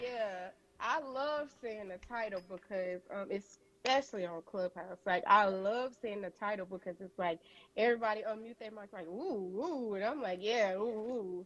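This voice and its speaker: With a Southern US accent, a woman talks at a fairly high pitch, her loudness swinging widely. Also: ordinary pitch variation, moderate pace. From Louisiana. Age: 20s. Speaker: beauty entrepreneur. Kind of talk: interview answer. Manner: casual, chatty.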